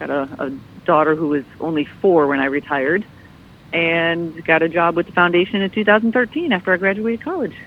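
With an American accent, a woman with an unremarkable speaking voice talks at a fairly quick pace, her fairly low pitch showing ordinary variation. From Michigan. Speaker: Navy veteran, nonprofit event director. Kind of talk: casual interview.

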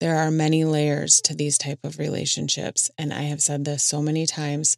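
A woman with a Minnesotan accent, very deep and low in pitch, at a moderate pace. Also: dry, close sound with no echo. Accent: Minnesota. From Minnesota, US Midwest. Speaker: podcast host. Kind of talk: casual solo podcast monologue.

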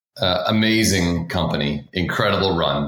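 Through noticeable background noise, a man with an American accent speaks in a very deep, low pitch. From Boston, Massachusetts. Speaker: tech sales executive. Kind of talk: interview.

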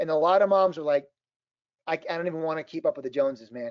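A man talks with an Upper Midwest accent. His pace is fairly quick and his intonation lively. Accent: Upper Midwest (Minnesota). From southern Minnesota. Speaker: author and motivational speaker. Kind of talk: podcast interview.

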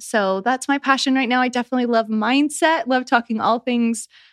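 A woman with an unremarkable speaking voice talks at a moderate pace with ordinary pitch variation. The background is quiet, and the sound is dry and close with no echo. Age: 30s. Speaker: wellness and life mentor. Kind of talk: casual interview chat.

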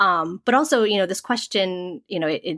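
In a very clean recording with a silent background, a woman with an American accent talks at a moderate pace in a bright, sharp tone. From US Northeast, suburban Massachusetts. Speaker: podcast co-host, parent. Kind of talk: casual chat. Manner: halting, many fillers.

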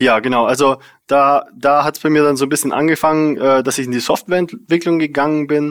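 A fairly high-pitched man's voice with fairly even intonation, on a very clean recording with a silent background. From Bavarian Swabia, Germany (Unterallgäu, near Memmingen). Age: 20s. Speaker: software tech lead. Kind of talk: casual interview. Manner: hesitant, many fillers.

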